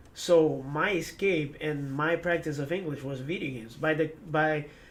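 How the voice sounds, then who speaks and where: In a room with audible echo, a fairly high-pitched man speaks at a moderate pace with fairly even intonation and big swings in loudness. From Ecuador. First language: Spanish. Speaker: former esports pro player. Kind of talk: interview. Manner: hesitant, many fillers and repetitions.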